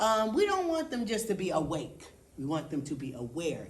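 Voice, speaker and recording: Audible room echo surrounds a woman with a medium pitch and an animated tone whose pitch swings very widely. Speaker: executive director of youth arts center. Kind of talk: round table discussion.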